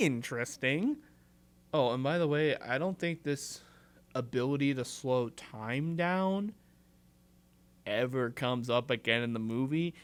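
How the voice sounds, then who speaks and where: Over a very clean recording with a silent background, a man speaks at a fairly slow pace with long, frequent pauses. His pitch is medium, with ordinary variation. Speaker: podcast host. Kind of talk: casual solo movie review. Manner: animated.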